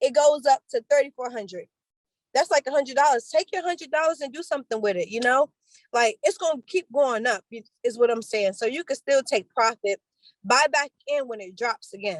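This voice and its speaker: A woman talks at a fairly quick pace with a high pitch and lively intonation, in an American accent. The sound is dry and close, with no echo. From Washington DC. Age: 20s. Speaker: credit repair educator and barber. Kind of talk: casual interview.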